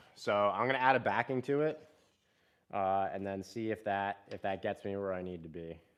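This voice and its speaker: A man with a fairly low pitch and lively intonation speaks over a quiet background. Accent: Central Pennsylvania. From South Central Pennsylvania, Harrisburg region. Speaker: bowhunter, live streamer. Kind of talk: casual live stream chat. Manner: casual, filler-heavy; loud.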